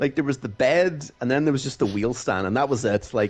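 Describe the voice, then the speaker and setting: Music plays in the background as a man with a Donegal accent speaks at a moderate pace. His fairly high voice is animated in tone, with lively intonation. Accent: Donegal Irish. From Ireland, County Donegal. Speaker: sim racing driver. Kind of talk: casual chat.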